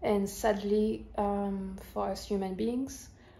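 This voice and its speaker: A woman's medium-pitched voice with a dark, mellow tone, flat monotone delivery and a slight French accent. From France. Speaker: YouTuber, movie reviewer. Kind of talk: casual vlog review. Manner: hesitant, many fillers.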